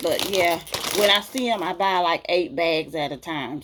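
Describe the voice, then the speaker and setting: With a strong Southern US accent, a woman speaks at a moderate pace in a fairly low pitch with ordinary pitch variation. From US South. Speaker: beauty vlogger. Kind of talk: casual Q&A vlog. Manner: chatty, talkative.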